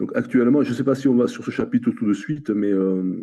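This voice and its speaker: A moderate pace against a quiet background. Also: man. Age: 60s. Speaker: coaching client. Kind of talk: interview testimony. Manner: halting, many fillers and repetitions.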